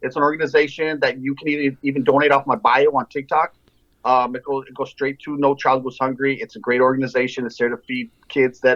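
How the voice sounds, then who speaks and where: Fairly quick, fairly high-pitched male speech in an American accent, with fairly even intonation and big swings in loudness. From El Paso, Texas. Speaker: TikTok creator. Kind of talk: casual chat.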